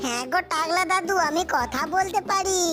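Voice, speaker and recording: A female-sounding cartoonish character voice, extremely high in pitch, goes at a moderate pace over clear background noise. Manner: playful, teasing.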